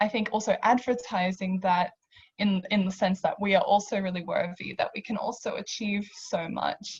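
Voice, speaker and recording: Fairly even intonation from a woman at medium pitch and a moderate pace. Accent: Australian. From Australia, Hungarian immigrant family. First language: Hungarian. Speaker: panellist. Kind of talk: panel discussion.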